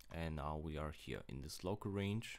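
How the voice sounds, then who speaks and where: A man is speaking here. His pitch varies in an ordinary way. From Germany. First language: German. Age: 20s. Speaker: crypto trader. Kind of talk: casual chart analysis talk to camera. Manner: slow, hesitant.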